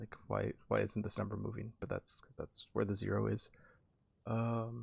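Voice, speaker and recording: Soft-spoken and at a moderate pace, a man talks with big swings in loudness. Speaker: video game streamer. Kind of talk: live gameplay commentary.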